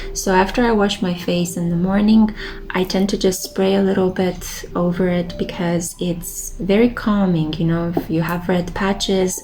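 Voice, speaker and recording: A woman with a Romanian accent speaks at a moderate pace and medium pitch with fairly even intonation and hardly any pauses, over noticeable background noise. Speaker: tarot reader and lifestyle vlogger. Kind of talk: casual monologue vlog. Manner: relaxed, meandering.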